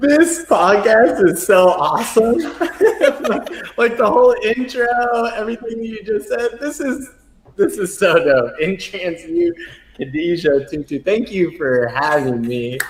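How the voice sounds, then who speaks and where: Over noticeable background noise, a high-pitched man speaks in an animated tone at a fairly slow pace, with very wide pitch swings. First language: American Sign Language. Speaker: transpersonal psychologist. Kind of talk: interview.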